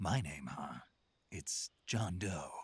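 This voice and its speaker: This is a put-on character voice. Its intonation is lively. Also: man, very deep, low pitch for a man. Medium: video game. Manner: terse, dry.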